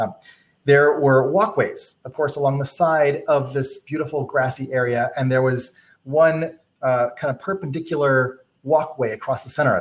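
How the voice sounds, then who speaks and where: A man's somewhat breathy voice, fairly high in pitch, with an American accent. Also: fairly even intonation. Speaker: productivity workshop presenter; presenter. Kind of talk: live stream tutorial. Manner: fast; casual with many fillers.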